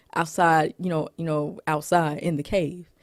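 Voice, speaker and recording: A woman at a moderate pace in an animated tone. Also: very clean recording, silent background. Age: 30s. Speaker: movie reviewer vlogger. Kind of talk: casual movie ranking monologue.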